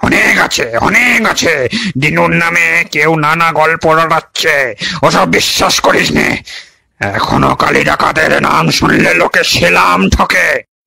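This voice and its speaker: A man's put-on character voice, fairly slow and very even in loudness. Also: fairly high pitch for a man. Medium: read story. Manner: boastful, scornful.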